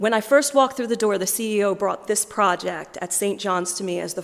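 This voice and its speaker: A woman with an American accent talks fairly quickly in a plain, everyday voice, with ordinary pitch variation. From US, Philadelphia. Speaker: diocesan fundraising manager. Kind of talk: appeal speech to church congregation.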